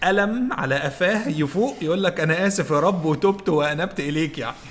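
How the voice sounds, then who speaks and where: A man with an Egyptian accent speaks at a high pitch. His pace is moderate and his pitch varies in an ordinary way. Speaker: podcast co-host. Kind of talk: casual chat. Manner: calm.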